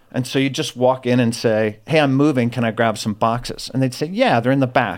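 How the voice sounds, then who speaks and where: A man's ordinary speaking voice at medium pitch, fairly quick in pace and with fairly even intonation, on a very clean recording over a silent background. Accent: American. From US South, Florida. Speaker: former convict with a redemption story. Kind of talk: testimony.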